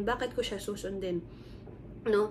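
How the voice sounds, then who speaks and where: A woman at a moderate pace, with audible echo from the room. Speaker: lay preacher. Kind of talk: sermon. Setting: recorded video shown to church. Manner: casual code-switching Taglish with fillers.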